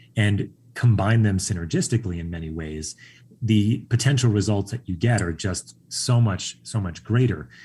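A man speaks with an American accent and lively intonation. His fairly low voice is somewhat breathy, with a dark, mellow tone. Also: moderate pace. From Long Island, New York. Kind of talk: casual interview. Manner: calm, zen.

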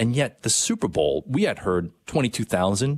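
Speaking with an ordinary speaking voice, a man keeps a medium pitch, lively intonation and a fairly quick pace in a dry, close sound with no echo. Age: 30s. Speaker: radio host. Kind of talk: casual chat.

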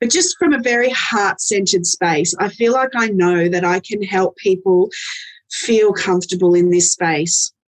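A woman talks in an ordinary speaking voice at medium pitch with ordinary pitch variation and a moderate pace. The sound is dry and close, with no echo. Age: 40s. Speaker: end of life doula and celebrant. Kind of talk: casual interview chat.

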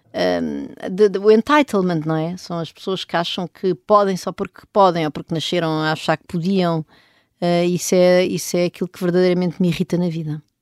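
A woman speaks at a moderate pace with medium pitch and fairly even intonation. The recording is very clean, with a silent background and a dry, close sound with no echo. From Portugal, rural Oeste region near Benedita. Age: 40s. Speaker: economist and professor. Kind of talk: interview. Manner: halting, many fillers and repetitions.

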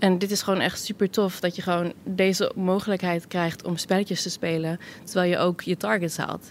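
A woman in a normal speaking voice talks at medium pitch and a moderate pace, with fairly even intonation and hardly any pauses. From Netherlands. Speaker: tech support employee. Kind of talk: casual interview. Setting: office, later a pub.

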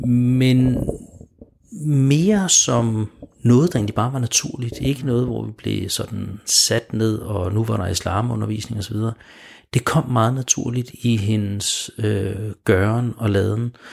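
A somewhat breathy man speaks at a very slow pace. His medium pitch shows ordinary variation. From Denmark, Smørum. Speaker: guest on a faith radio show. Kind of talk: radio interview. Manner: hesitant, many repeated words.

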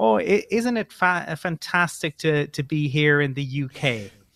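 Speaking at a fairly slow pace, a man with a Cork accent has a fairly high pitch. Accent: Irish (Cork), sing-songy lilt. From Cork, Ireland. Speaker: co-host of an Irish American football show. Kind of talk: casual interview chat. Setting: remote call from Ireland.

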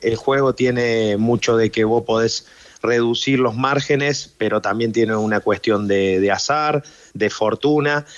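A man with an Argentine accent speaks at a medium pitch and a fairly slow pace. His intonation stays fairly even. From Argentina. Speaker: professional football goalkeeper. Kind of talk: radio interview.

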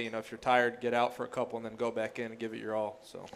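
A man talks at a very fast pace, his pitch sitting in the medium range. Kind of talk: post-game interview chat. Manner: relaxed, conversational, filler-heavy, repeating 'you know'.

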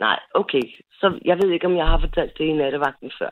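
The woman talks at a moderate pace. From Copenhagen (Frederiksberg). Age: 40s. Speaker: caller. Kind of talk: personal story on call-in radio. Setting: phone call. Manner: halting.

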